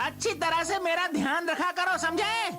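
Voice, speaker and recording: A put-on character voice with an extremely high pitch moves at a moderate pace. Loud background noise runs underneath. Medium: fan dub. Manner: grumbling, reproachful.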